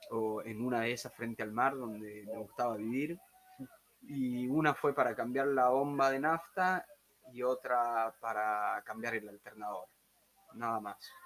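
The man speaks in a Tucumán accent at a medium pitch. His pace is fairly slow, with ordinary pitch variation. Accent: Tucumán Argentine Spanish (voseo). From Argentina, Tucumán. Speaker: backpacker, former court employee. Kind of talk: casual chat. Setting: room with open door, weak internet.

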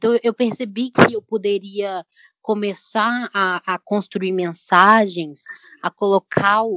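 A woman with an ordinary speaking voice, medium pitch, fairly even intonation and a fairly slow pace. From Brazil, Belo Horizonte (Minas Gerais). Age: 20s. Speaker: painter and journalism student. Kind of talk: casual panel discussion.

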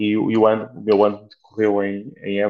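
Speaking at a fairly low pitch, a man keeps a monotone, flat intonation throughout. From Portugal, Beira Alta. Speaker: flight nurse. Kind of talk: interview. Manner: halting, many repetitions.

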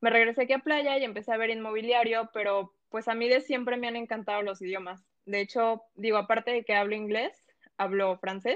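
A woman talks at a fairly quick pace with fairly even intonation. Hers is an ordinary speaking voice, pitched fairly high. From Mexico, Colima coast (Manzanillo), moved to Quintana Roo at 12. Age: 20s. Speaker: lawyer and fitness account founder. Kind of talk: casual interview chat.

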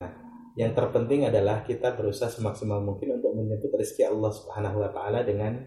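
The room echo can be heard clearly. Over it, a man talks very fast. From West Java, Indonesia (Ciamis). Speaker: travel agency executive. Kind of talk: interview.

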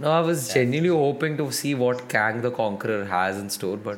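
Against noticeable background noise, a man talks at a moderate pace and medium pitch with ordinary pitch variation and hardly any pauses. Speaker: podcast co-host. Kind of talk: casual chat.

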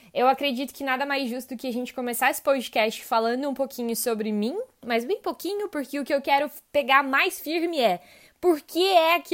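The recording is very clean, with a silent background. The speech moves at a moderate pace with ordinary pitch variation. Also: woman. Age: 20s. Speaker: podcast host, logistics professional. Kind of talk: podcast monologue. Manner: warm, enthusiastic.

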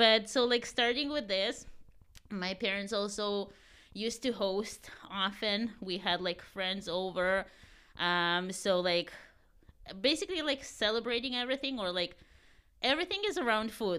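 Long, frequent pauses break up a woman's fairly slow speech, her bright, sharp tone sitting at a medium pitch with ordinary pitch variation in a very clean recording with a silent background. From Ukraine. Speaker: baker and food business owner. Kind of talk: casual interview.

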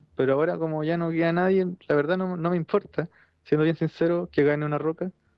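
In a Chilean accent, a man talks at a fairly quick pace. His pitch is fairly high and his intonation fairly even. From southern Chile. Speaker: wrestling podcast panelist. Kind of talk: casual chat.

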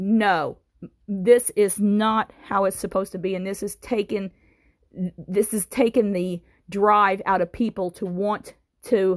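The speaker has an American accent and a fairly slow pace. The sound is dry and close, with no echo. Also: woman. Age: 50s. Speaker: political commentator. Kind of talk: monologue. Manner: halting.

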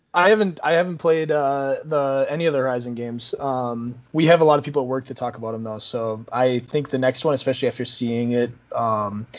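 A man with a plain, everyday voice and an American accent talks at a fairly quick pace and a fairly high pitch. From Minnesota. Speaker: esports marketing coordinator. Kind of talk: casual chat.

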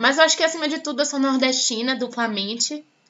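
Fairly quick speech with noticeable background noise. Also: woman. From Salvador, Bahia, Brazil. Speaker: journalism student and podcast host. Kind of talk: personal testimony.

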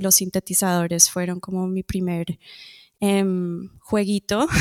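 On a very clean recording with a silent background, the speech moves at a fairly slow pace. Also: woman. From Colombia, moved to Toronto at age 10. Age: adult. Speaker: musician. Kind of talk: interview. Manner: hesitant, many fillers.

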